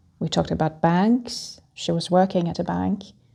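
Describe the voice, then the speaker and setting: A woman's somewhat breathy, medium-pitched voice with a calm, soothing, dark and mellow tone at a fairly slow pace. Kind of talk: calming travel talk for flyers.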